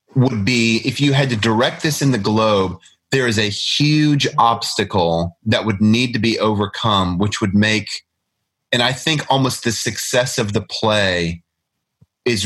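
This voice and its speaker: Very clean and silent in the background, the recording captures a man with a plain, everyday voice speaking fairly slowly at medium pitch, with ordinary pitch variation and very even loudness. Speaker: podcast host. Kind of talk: casual chat about literature.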